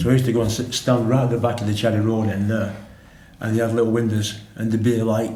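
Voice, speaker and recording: A man with a Manchester accent speaks at a very fast pace. His intonation is monotone and flat, with audible room echo. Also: medium pitch for a man. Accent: Greater Manchester English. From northern England, Oldham area. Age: 70s. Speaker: former pro footballer. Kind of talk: casual chat.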